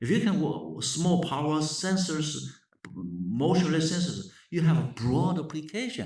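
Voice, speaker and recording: Speaking in a Chinese accent at a moderate pace, the voice shows lively intonation and vocal fry, with audible room echo. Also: man. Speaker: professor. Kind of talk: lecture. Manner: halting.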